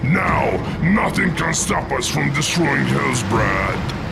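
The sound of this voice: A man in a put-on character voice, medium pitch with big swings, vocal fry and a slow pace, over loud music in the background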